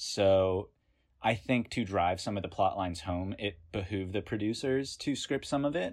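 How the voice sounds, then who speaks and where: A man with an ordinary speaking voice talks at a moderate pace, his pitch fairly low and his pitch variation ordinary. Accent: American. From US South, North Carolina. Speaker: podcast guest, essay author. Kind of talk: casual chat. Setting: video call.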